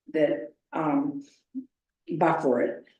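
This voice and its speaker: Audible room echo surrounds a woman speaking in a dark, mellow tone. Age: 70s. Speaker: homeowner applicant at public meeting. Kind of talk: public meeting testimony.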